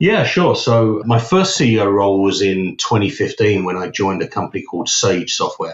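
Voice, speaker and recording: A man speaks in a British accent at a fairly quick pace. He hardly pauses at all. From UK. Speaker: company CEO. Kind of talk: interview. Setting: podcast.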